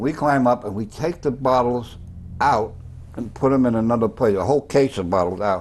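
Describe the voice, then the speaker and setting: A man speaks with a Bronx accent and ordinary pitch variation. His pace is fairly quick. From New York, the Bronx. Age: 80s+. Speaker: former cab driver and storyteller. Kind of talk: tv interview. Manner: animated.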